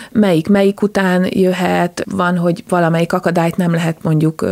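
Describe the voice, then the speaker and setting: With a normal speaking voice, a woman talks at a moderate pace in a fairly low pitch on a very clean recording with a silent background and a dry, close sound with no echo. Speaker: dog agility team captain and judge. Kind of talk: interview. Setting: studio.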